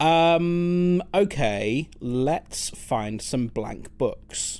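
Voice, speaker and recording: A man's fairly high-pitched voice, very slow in pace, with lively intonation. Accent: London. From London, England. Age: 30s. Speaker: game streamer. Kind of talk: casual chat. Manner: halting.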